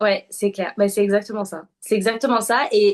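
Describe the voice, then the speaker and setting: A woman speaks at a fairly slow pace in a fairly high pitch. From southern France. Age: 20s. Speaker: UGC content creator. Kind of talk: interview. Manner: hesitant, many fillers.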